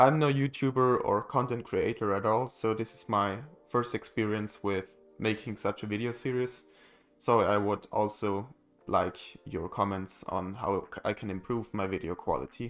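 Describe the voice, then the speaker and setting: Music plays behind a man with a German accent speaking at a moderate pace. He has a fairly low pitch and ordinary pitch variation. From Germany. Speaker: DIY electronics maker. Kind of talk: tutorial.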